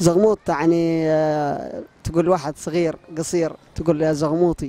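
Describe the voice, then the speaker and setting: This man speaks with a fairly high pitch, fairly even intonation and a dark, mellow tone, recorded dry with no echo. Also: moderate pace. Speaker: street interviewer. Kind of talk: street interview questions. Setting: outdoors, street. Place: street. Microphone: handheld.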